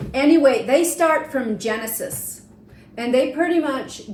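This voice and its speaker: A woman's pitch swings very widely. Audible room echo and noticeable background noise surround her voice. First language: Swiss German dialect. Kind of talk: casual chat.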